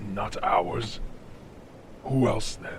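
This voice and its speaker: With clear background noise behind him, a man performs a put-on character voice. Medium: audio drama.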